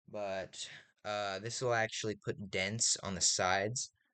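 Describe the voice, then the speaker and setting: The speaker is a man with an American accent. He talks at a very slow pace. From Texas. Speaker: video creator reviewing Texan hats. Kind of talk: casual show-and-tell video. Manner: halting, with repetitions.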